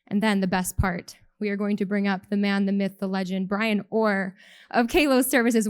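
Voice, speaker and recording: With a Canadian accent, a woman speaks in a medium pitch and a plain, everyday voice. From Canada. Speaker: benefits advisor, company president. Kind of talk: conference talk.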